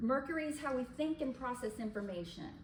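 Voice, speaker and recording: A woman's high pitch and lively intonation at a moderate pace, with noticeable background noise and audible room echo. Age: 70s. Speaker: astrologer. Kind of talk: lecture.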